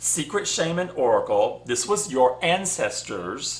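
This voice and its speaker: A man speaks with a Southern US accent. Audible room echo surrounds his voice. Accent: southern US twang. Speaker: spiritual channel host. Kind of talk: casual vlog monologue. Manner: rambling, conversational with fillers.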